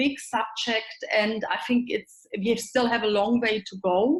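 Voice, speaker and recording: With a German accent, a woman speaks in a fairly high pitch at a fairly slow pace. Her voice is somewhat breathy, with fairly even intonation. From Germany. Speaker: sales director. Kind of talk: podcast interview answer.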